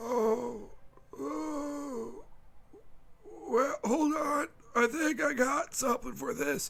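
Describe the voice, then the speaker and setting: Using a put-on character voice, a man speaks very slowly at an extremely high pitch, with very wide pitch swings and long, frequent pauses. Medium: actual play. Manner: hesitant, stammering, polite.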